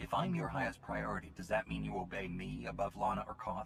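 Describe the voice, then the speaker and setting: A man's put-on character voice, very deep and low in pitch, at a very fast pace over clear background noise. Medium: video game. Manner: commanding.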